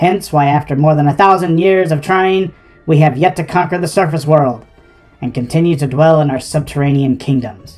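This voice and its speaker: A put-on character voice at middle pitch and moderate pace, with faint music in the background. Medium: solo performance. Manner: pompous, theatrical.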